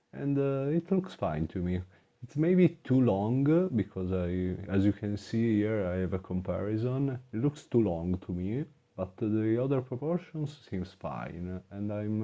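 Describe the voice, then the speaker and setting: A man speaks fairly slowly with a fairly low pitch and a dark, mellow tone. His pitch swings very widely. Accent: non-native. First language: not English. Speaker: gaming YouTuber. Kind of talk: gameplay commentary. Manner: halting, many filler words.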